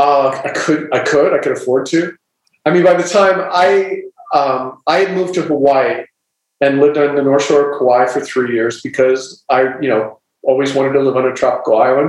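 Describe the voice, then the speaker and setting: A man with a normal speaking voice and an American accent speaks at a moderate pace with a fairly high pitch and ordinary pitch variation. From US Midwest, small-town Ohio. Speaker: novelist. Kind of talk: casual chat.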